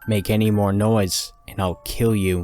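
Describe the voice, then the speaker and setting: A man growls in a put-on character voice, fairly low in pitch, with monotone, flat intonation at a moderate pace while faint music plays in the background. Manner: menacing.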